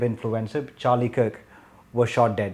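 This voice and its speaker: His voice has a dark, mellow quality. Its pitch is medium for a man. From India. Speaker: podcast host. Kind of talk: casual discussion.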